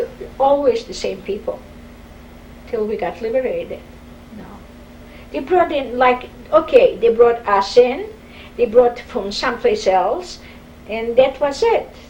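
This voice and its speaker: Speaking in a Polish accent, a woman with a high pitch moves at a fairly slow pace with lively intonation, big swings in loudness and long, frequent pauses over noticeable background noise. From Poland, Warsaw. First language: Polish or Yiddish. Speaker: Holocaust survivor. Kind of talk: oral history interview.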